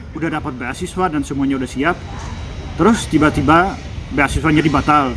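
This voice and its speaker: Fairly quick speech from a man with a fairly high pitch, over noticeable background noise. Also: ordinary pitch variation. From Czech Republic. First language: Czech (speaking Indonesian). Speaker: former exchange student, interviewee. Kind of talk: casual interview.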